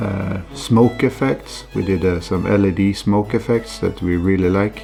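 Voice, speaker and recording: A man speaks with a Swedish accent, fairly low pitch and ordinary pitch variation. Music plays in the background. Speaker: scale ship model hobbyist. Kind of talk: hobby tutorial voiceover.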